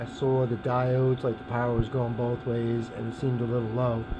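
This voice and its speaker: A man at a medium pitch can be heard over noticeable background noise. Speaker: paramotor hobbyist mechanic. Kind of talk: casual repair talk to camera. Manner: monotone.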